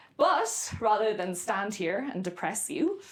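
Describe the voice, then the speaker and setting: In an Irish accent, a woman speaks at a fairly high pitch with lively intonation and a fairly slow pace. Room echo can be heard. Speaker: novelist and creative writing professor. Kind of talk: lecture. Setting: lecture room with audience. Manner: deliberately slow.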